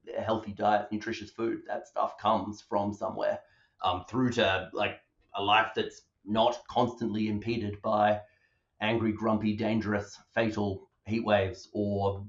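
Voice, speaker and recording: With an Australian accent, a man speaks fairly slowly at a fairly low pitch in a monotone, flat intonation. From Western Australia (Perth). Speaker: public health doctor. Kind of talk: interview.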